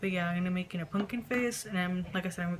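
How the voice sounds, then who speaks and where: A woman speaks over noticeable background noise. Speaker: makeup vlogger. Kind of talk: makeup tutorial talk-through.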